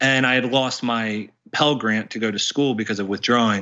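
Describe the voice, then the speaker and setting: A man with an American accent at medium pitch, ordinary pitch variation and a normal speaking voice. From West Virginia. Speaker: former alt-right follower. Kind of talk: interview.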